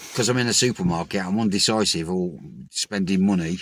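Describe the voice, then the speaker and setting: A man talks with a Birmingham accent at a very deep, low pitch. His pace is fairly quick. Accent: Birmingham (Brummie) English. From Birmingham, England. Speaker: recovering addict vlogger. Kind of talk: personal vlog monologue.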